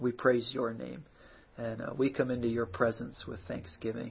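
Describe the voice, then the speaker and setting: The voice is somewhat breathy and moves at a fairly slow pace. Its intonation is monotone and flat. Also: man. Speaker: pastor. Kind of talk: fervent intercessory prayer. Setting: live stream on social media. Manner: earnest, pleading, heartfelt; warm, casual, conversational.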